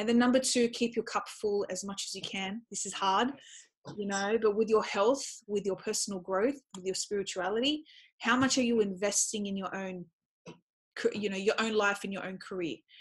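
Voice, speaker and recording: A woman with an Australian accent and a medium pitch, somewhat breathy, at a moderate pace, with fairly even intonation, big swings in loudness, and a quiet background. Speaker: educator and speaker. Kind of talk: interview.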